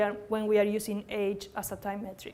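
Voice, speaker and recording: A woman with a Spanish accent, a dark, mellow tone and a fairly quick pace. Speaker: statistician/epidemiology researcher. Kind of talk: academic lecture. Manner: hesitant, many fillers.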